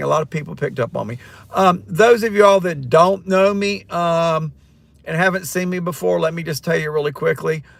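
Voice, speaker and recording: A man speaks in a Southern US accent at a fairly high pitch. His pace is fairly quick, with ordinary pitch variation. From North Carolina, Siler City. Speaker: rideshare driver and retired teacher doing a livestream. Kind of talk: casual livestream chat. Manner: hesitant, many ums and restarts.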